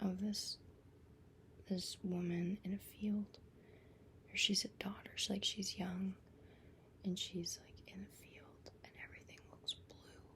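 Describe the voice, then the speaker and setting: Whispering in a relaxed tone, a woman goes at a fairly slow pace with long, frequent pauses and big swings in loudness. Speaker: ASMR creator. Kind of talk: ASMR whispered storytelling about dreams. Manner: whispered, relaxed, casual.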